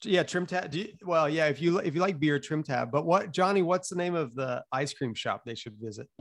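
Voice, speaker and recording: An American accent shapes this man's unremarkable speaking voice, pitched fairly high with ordinary pitch variation. He moves at a fairly quick pace with hardly any pauses. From Alabama, US South. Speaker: music festival founder. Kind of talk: casual chat.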